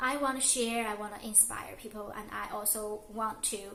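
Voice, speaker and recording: Audible room echo surrounds this woman's voice. She talks at a fairly slow pace with fairly high pitch and fairly even intonation. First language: not English. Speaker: lifestyle vlogger. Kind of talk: casual vlog monologue. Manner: halting, many fillers.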